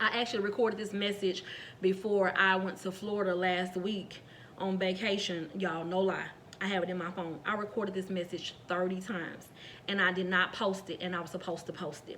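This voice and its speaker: A woman at a fairly quick pace in a monotone, flat way, with noticeable background noise and audible room echo. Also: medium pitch for a woman. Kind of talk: sermon-style devotional message. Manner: fast.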